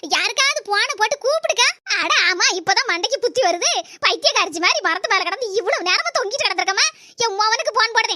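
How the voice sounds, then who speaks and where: This woman uses a cartoonish character voice, pitched extremely high, with lively intonation and very even loudness. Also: moderate pace. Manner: fast, scolding.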